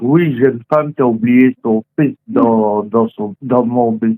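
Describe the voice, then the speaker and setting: Very slow speech with lively intonation and a dry, close sound with no echo. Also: man. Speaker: bus driver. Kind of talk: phone conversation, anecdote telling. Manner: calm.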